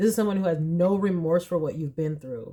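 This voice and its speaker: A woman's fairly low voice, fairly quick, with ordinary pitch variation. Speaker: tarot reader. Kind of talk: pick-a-card tarot reading. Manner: low, subdued; animated.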